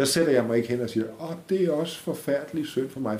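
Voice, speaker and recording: This man speaks at a moderate pace in a dark, mellow tone. His voice is somewhat breathy, with ordinary pitch variation. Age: 60s. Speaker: podcast guest with multiple sclerosis. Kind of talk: interview. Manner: halting.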